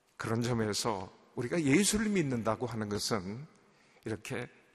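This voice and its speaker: The pace is moderate as a man talks at a medium pitch. He has an ordinary speaking voice. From South Korea, Seoul. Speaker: pastor. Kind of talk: sermon.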